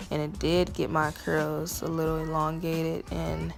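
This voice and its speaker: A woman's voice with music in the background. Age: 20s. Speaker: natural hair vlogger. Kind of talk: casual talk to camera.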